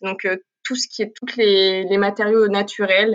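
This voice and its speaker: Bright and sharp in tone, a woman speaks at medium pitch with monotone, flat intonation at a fairly slow pace. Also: very clean recording, silent background. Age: 20s. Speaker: art student. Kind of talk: interview.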